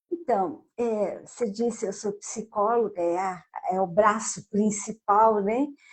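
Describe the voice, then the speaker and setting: Speaking at a very slow pace, a woman with fairly high pitch sounds somewhat breathy, with ordinary pitch variation. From Brazil, southern Minas Gerais. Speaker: psychologist and author. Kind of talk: interview.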